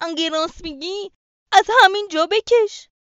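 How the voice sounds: A put-on character voice from a woman, shaky and extremely high-pitched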